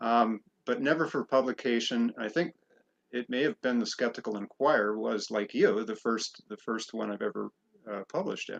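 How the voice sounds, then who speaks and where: In a dry, close sound with no echo, a man with a normal speaking voice talks at medium pitch and a moderate pace, with ordinary pitch variation. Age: 50s. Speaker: writer and magazine contributing editor. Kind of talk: interview.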